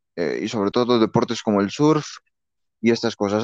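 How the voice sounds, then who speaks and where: Recorded dry and close with no echo against a quiet background, a man talks at a medium pitch with ordinary pitch variation. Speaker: sports podcast host. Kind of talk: casual sports talk. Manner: hesitant, many fillers and repetitions.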